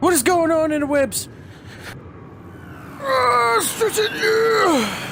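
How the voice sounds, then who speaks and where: Speech comes at a very slow pace, with very wide pitch swings and long, frequent pauses. Noticeable background noise and audible room echo are present. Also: man, extremely high pitch for a man. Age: 20s. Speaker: gaming YouTuber. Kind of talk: casual gameplay commentary. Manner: casual, rambling.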